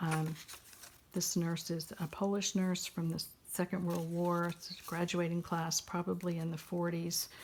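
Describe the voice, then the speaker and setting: In an American accent, a somewhat breathy woman speaks fairly slowly with a fairly low pitch and flat, monotone intonation. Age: 70s. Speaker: journal maker and retired nurse. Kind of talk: craft show-and-tell. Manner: halting.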